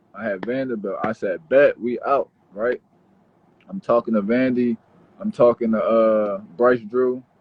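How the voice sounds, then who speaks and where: A man speaks at a very slow pace. His pitch sits at a medium level. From Philadelphia, US. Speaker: pro basketball player. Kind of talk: casual chat.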